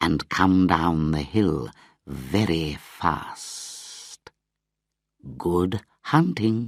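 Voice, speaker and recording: A man speaks in a put-on character voice at a very slow pace, his very deep, low pitch rising and falling with lively intonation between long, frequent pauses. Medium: read story. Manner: calm, measured.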